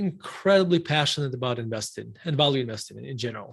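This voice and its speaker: Speaking at a moderate pace, a man with a Russian accent has a fairly high pitch. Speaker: investment firm CEO. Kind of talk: interview. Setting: live stream.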